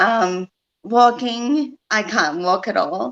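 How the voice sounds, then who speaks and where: A woman speaks with lively intonation in a dry, close sound that has no echo. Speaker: stroke survivor. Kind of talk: interview testimony. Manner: hesitant, many fillers; loses voice control when excited.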